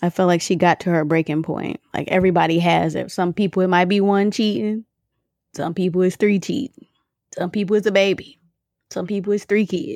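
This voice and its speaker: A fairly quick, ordinary speaking voice with an American accent and ordinary pitch variation, dry and close with no echo on a very clean recording with a silent background. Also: woman, medium pitch for a woman. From Michigan. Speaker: podcast co-host. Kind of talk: casual chat.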